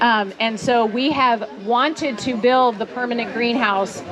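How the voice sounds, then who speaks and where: A woman's fairly high voice at a fairly slow pace, ordinary pitch variation, audible room echo and music in the background. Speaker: gardening speaker at a ranch for children. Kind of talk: talk to a live audience. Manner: loud, projecting.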